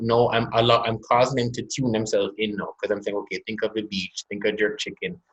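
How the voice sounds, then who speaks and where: This man has a Jamaican accent and a medium pitch. He speaks at a moderate pace. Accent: Jamaican, evident. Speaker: corporate executive and business owner. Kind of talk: webinar conversation.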